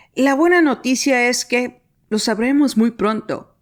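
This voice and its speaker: This is a very clean recording with a silent background. A woman with a Latin American accent speaks at a very slow pace. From Mexico. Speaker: podcast host. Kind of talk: scripted narration.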